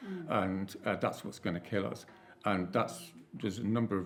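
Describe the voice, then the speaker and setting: The man talking has a fairly deep pitch. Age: 60s. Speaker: climate activist, panelist. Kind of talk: panel discussion. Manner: halting, frequent repetitions; casual, informal.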